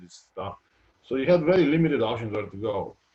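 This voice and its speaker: The pace is fairly quick. A man is talking, and he sounds somewhat breathy. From Georgia (former Soviet Union). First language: Georgian or Russian. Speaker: retired basketball player. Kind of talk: interview. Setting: live video stream. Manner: halting, many fillers.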